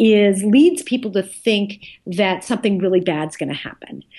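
This woman has an unremarkable speaking voice, medium in pitch, with lively intonation and a fairly slow pace. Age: 50s. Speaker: professor and author. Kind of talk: interview.

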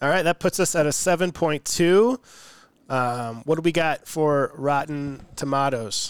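A man with an American accent talks at a fairly slow pace in an ordinary speaking voice of fairly high pitch, with a dry, close sound and no echo. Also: ordinary pitch variation. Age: 20s. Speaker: podcast host. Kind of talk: casual chat. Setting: remote recording.

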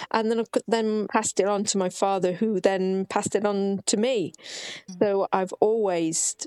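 A woman with a normal speaking voice talks at a moderate pace in a medium pitch, her intonation fairly even and the sound dry and close with no echo. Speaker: author and hereditary witch. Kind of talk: casual interview.

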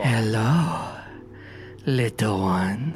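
A man in a put-on character voice at a medium pitch, with clear music in the background. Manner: menacing, condescending.

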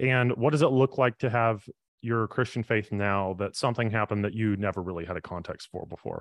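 An ordinary speaking voice from a man, medium in pitch with ordinary variation, at a fairly quick pace, with a dry, close sound with no echo and a quiet background. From US South, Birmingham, Alabama. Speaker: ministry program leader and author. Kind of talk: interview. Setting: video call.

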